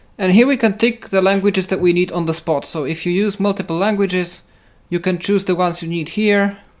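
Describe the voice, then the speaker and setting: In a very clean recording with a silent background, someone with a Polish accent talks at a fairly quick pace. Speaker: assistive technology podcast presenter. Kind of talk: tutorial.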